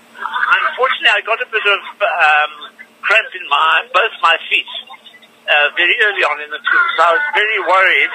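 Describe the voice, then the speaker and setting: A man speaks at a high pitch and moderate pace, his pitch swinging very widely. Noticeable background noise runs underneath. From South Africa. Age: 70s. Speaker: heart surgeon and long-distance swimmer. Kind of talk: radio interview answer.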